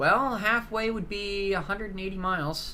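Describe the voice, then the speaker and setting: Through audible room echo and noticeable background noise, a man speaks in a raised, projected voice at a high pitch. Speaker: gaming livestreamer. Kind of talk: live stream chat while gaming. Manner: casual, chatty.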